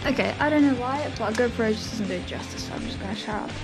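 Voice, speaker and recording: Music behind a woman, her pitch varying in an ordinary way. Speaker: lifestyle vlogger. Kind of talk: casual vlog talk to camera.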